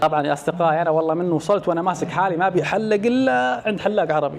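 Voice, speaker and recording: Noticeable background noise sits behind speech delivered at a moderate pace with ordinary pitch variation. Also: man. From Saudi Arabia. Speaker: travel vlogger. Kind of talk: travel vlog. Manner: animated.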